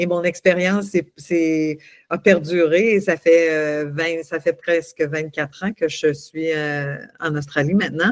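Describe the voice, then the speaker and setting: The delivery comes at a very slow pace. Intonation stays fairly even. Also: woman, fairly low pitch for a woman. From Quebec. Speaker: coach and singer. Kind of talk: interview. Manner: halting, many repetitions.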